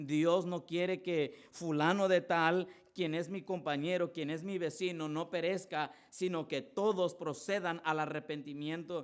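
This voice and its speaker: Speaking at a fairly slow pace with hardly any pauses, a man uses a high pitch. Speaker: pastor. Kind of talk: sermon. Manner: stutters, repeats words.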